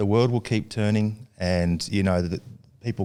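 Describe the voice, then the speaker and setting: A man with an Australian accent and a dark, mellow tone at a moderate pace, on a very clean recording with a silent background. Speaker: actor and director. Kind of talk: podcast interview answer.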